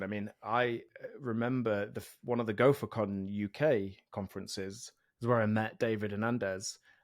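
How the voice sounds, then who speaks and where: Speaking fairly slowly with an English accent, a man uses a medium pitch and fairly even intonation. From England, East Midlands (Mansfield near Nottingham). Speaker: software developer and podcast host. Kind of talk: casual interview chat.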